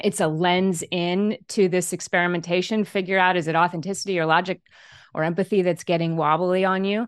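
With a plain, everyday voice, a woman speaks fairly quickly at a fairly low pitch and fairly even intonation, the sound dry and close with no echo over a quiet background. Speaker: author and leadership coach. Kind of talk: interview.

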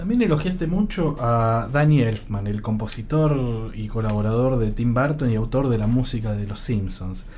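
Audible room echo surrounds a man talking at a moderate pace with hardly any pauses. His pitch is medium, and it varies in an ordinary way. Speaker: podcast host and magazine editor. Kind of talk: scripted narration; interview.

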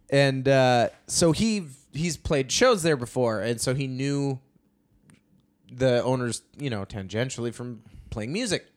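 A man with an Upper Midwest accent, medium pitch, ordinary pitch variation, and a fairly slow pace. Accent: Upper Midwest American. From North Dakota, US. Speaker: stand-up comedian. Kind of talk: casual chat. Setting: studio.

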